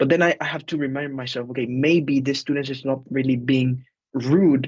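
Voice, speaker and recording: The speaker has a Spanish accent and ordinary pitch variation. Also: man. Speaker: teacher. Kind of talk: group discussion. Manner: hesitant, many fillers.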